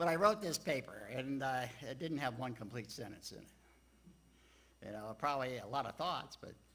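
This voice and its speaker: Speaking with an American accent, a man has a bright, sharp tone and a medium pitch. His intonation is lively, his pace moderate, and his loudness swings widely. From Texas and Louisiana, later Maryland. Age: 70s. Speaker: church speaker sharing life story. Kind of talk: personal talk to congregation. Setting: church livestream. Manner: halting, many fillers.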